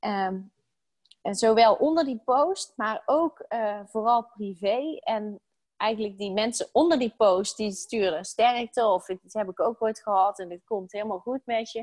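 A woman with a plain, everyday voice, fairly high in pitch, with ordinary pitch variation, a fairly slow pace and a dry, close sound with no echo. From Netherlands, Brabant. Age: 30s. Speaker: stress coach. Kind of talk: interview.

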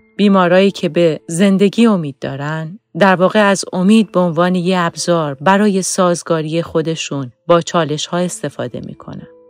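A woman with a plain, everyday voice, fairly low in pitch, speaks at a moderate pace with fairly even intonation and hardly any pauses. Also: dry, close sound with no echo. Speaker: podcast host and founder, neuropsychology expert. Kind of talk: educational podcast discussion.

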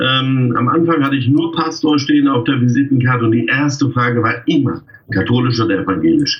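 This man has an ordinary speaking voice at a medium pitch, moving at a moderate pace with ordinary pitch variation. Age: 50s. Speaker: freelance wedding pastor. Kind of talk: casual interview.

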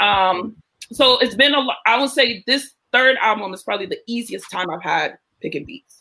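Speaking at a moderate pace, a woman with vocal fry and a bright, sharp tone uses lively intonation and big swings in loudness. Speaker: rapper. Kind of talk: interview.

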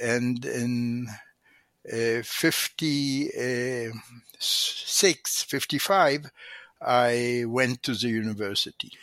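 Speaking very slowly in an Israeli accent, a man at medium pitch has a bright, sharp tone and fairly even intonation, recorded dry and close with no echo. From Israel, Tel Aviv. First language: Hebrew. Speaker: economics professor emeritus. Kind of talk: interview. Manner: halting.

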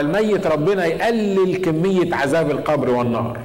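Room echo is audible and background noise is noticeable. A man speaks at a fairly slow pace with lively intonation. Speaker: pastor. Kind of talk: sermon. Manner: animated.

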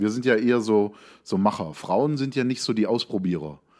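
A man with a normal speaking voice and medium pitch talks at a fairly quick pace with ordinary pitch variation, in a very clean recording with a silent background. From Lake Constance region, southern Germany. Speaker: podcast co-host. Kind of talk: casual chat.

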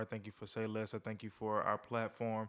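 A man talks at a fairly quick pace. His pitch is medium and the background is quiet. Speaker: podcast host and life coach. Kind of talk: casual conversational podcast discussion about faith and manhood.

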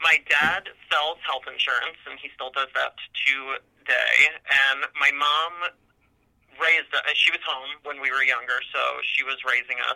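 Fairly slow speech with vocal fry, monotone, flat intonation and an American accent. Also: man, fairly high pitch for a man. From North New Jersey, US. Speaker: court attorney. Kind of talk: interview.

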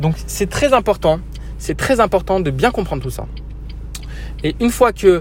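A man's moderately paced speech comes with noticeable noise in the background. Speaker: software trainer. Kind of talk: solo monologue podcast. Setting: in a car. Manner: hesitant, filler-heavy.

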